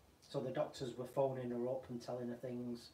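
A man is speaking. The room echo is audible, with light background noise. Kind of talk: casual vlog chat. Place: workshop.

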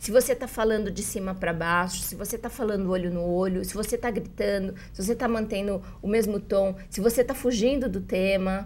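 Her pace is fairly quick. This woman keeps her intonation fairly even. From Brazil. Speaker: journalist and writing teacher; journalist, writing teacher. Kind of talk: interview. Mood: warm, earnest. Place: studio. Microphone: lapel.

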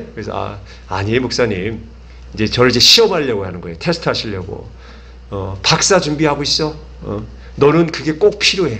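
Speaking at a fairly quick pace, a man leaves long, frequent pauses, his loudness swinging widely. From South Korea. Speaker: pastor. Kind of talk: sermon. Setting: church. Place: church. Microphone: podium.

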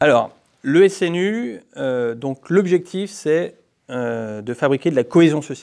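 A man at a fairly high pitch, very slow pace and lively intonation over a quiet background. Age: 30s. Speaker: politician. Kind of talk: interview. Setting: parliament committee room. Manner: hesitant with fillers. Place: meeting room. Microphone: lapel.

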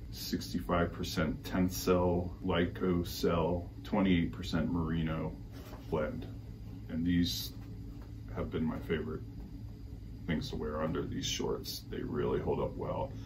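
A man with a very deep, low voice and lively intonation, at a very slow pace with long, frequent pauses, over noticeable background noise. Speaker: cycling gear reviewer. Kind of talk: product review vlog. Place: home room. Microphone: camera far.

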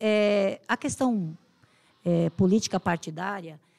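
A woman's dark, mellow tone at a medium pitch, with a quiet background. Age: 60s. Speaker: human rights activist and political candidate; candidate. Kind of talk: podcast interview. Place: studio. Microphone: studio mic.

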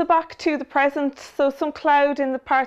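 A woman speaking at a moderate pace. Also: quiet background. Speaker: weather forecaster. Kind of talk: weather forecast, scripted and read out as a plain, factual bulletin. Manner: measured, even and businesslike, steady pace. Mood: calm, friendly. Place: studio. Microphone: lapel.

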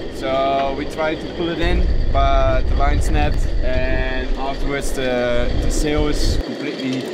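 Loud background noise sits behind the speech. A man talks at a fairly slow pace. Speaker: sailor vlogger. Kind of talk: casual vlog chat. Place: boat. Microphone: phone near.

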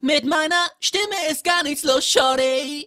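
In a put-on, robotic character voice, a woman speaks at a fairly slow pace and a high pitch. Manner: strange, odd-sounding.

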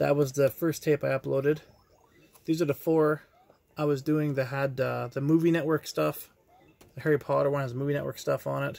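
Vocal fry runs through this man's slightly mellow tone, which shows little pitch movement. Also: fairly high pitch for a man, moderate pace.

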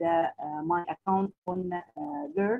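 Very slowly, a woman talks with fairly even intonation. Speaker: English teacher, trainer presenting. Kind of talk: workshop presentation. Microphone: video call.

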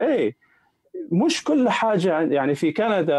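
Very slow and dry with no echo, a man's voice makes very wide pitch swings against a quiet background. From Iraq, Baghdad; Iraq. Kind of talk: live-streamed interview. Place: home room. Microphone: earbuds.

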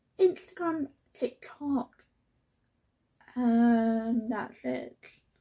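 A woman speaks very slowly in a high voice with a dark, mellow tone. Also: long, frequent pauses. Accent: British. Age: 20s. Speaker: lifestyle YouTuber. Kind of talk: casual vlog Q&A. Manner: chatty, rambling.

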